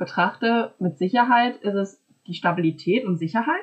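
A woman's voice comes across somewhat breathy and sits at a medium pitch. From small town in Germany. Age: 20s. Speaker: master's student. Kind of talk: casual interview conversation.

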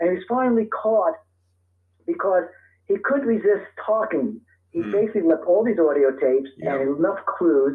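At a moderate pace, this speaker talks with an American accent. The intonation is lively. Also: man, high pitch for a man. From US Northeast (Brooklyn, New York). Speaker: author and terrorism expert. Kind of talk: interview.

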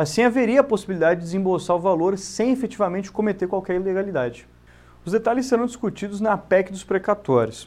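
A man with a Brazilian accent talks very fast in a high voice. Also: ordinary pitch variation. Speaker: bank manager. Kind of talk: scripted narration. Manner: formal.

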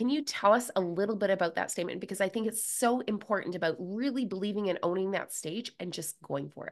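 A woman talks very fast at a medium pitch, with hardly any pauses. Her pitch varies in an ordinary way. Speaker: podcast host. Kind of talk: scripted intro then interview chat.

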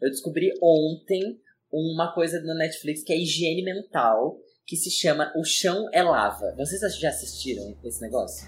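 A high-pitched man at a fairly slow pace with ordinary pitch variation, on a very clean recording with a silent background. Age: 20s. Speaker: podcast co-host, designer. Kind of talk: casual chat.

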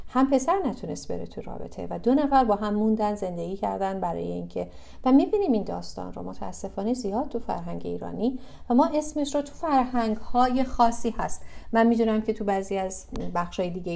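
Quietly and at a fairly quick pace, a woman speaks. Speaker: psychology speaker on codependency. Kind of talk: online talk/workshop. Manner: quiet, limited volume.

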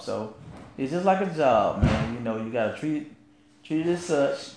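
With a Southern US accent, a man talks at a fairly quick pace over audible room echo. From rural US South. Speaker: podcast co-host. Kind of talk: casual chat. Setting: live stream.

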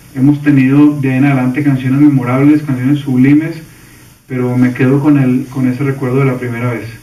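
A man talks at a fairly quick pace in a medium pitch, with monotone, flat intonation. Audible room echo surrounds the voice. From Colombia. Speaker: singer-songwriter. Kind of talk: recorded video tribute message.

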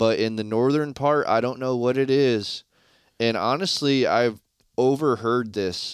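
In a very clean recording with a silent background, a man talks in an ordinary speaking voice at medium pitch, fairly slowly, with ordinary pitch variation and very even loudness. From Michigan, Shiawassee County. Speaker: deer hunter. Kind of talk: casual chat.

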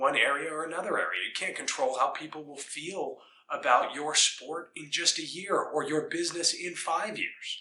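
Here a man with an American accent talks at a moderate pace. His voice is fairly high and varies in pitch in an ordinary way. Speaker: wrestling coach. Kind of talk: motivational pep talk. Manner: earnest, emphatic, inspiring; repetitive, rhythmic, driving.

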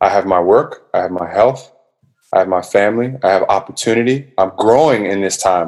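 In an American accent, a man with an ordinary speaking voice talks at a fairly low pitch with ordinary pitch variation. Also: fairly quick pace. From US, Washington DC area. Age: 30s. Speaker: musician. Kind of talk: casual chat. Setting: video call.

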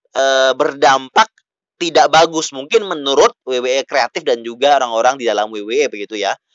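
A man is shouting, loud, with a bright, sharp tone. He keeps a moderate pace, and the sound is dry and close with no echo. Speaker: podcast host. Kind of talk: solo wrestling news podcast. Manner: loud, shouting; hesitant with fillers.

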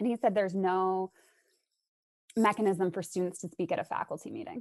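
A woman with a plain, everyday voice talks at a fairly quick pace, her pitch medium with ordinary pitch variation. The sound is dry and close, with no echo. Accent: General American. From Arizona, US. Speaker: English professor. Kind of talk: casual interview.

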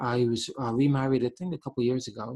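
A man talks at a very fast pace with a medium pitch. His tone is dark and mellow and somewhat breathy. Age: 40s. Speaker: host's husband. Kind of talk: casual chat. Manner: halting.

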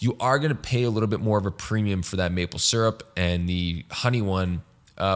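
On a very clean recording with a silent background, a man's fairly low voice sounds animated, with ordinary pitch variation. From Quebec. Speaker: fitness podcast host. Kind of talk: solo Q&A monologue.

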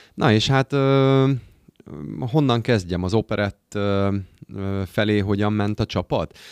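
On a very clean recording with a silent background, a man's fairly low voice shows ordinary pitch variation, the sound dry and close with no echo. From Hungary, Győr. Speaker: amateur operetta singer. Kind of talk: casual chat.

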